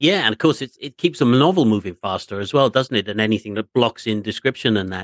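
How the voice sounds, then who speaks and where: Speaking at a very fast pace with hardly any pauses, a man with a medium pitch uses lively intonation in a dry, close sound with no echo. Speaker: radio host. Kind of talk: interview.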